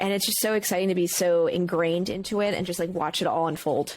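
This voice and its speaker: A woman talks very fast in a fairly low voice. Her tone is animated. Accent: American. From Brooklyn, New York. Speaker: streamer and content creator. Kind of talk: casual chat.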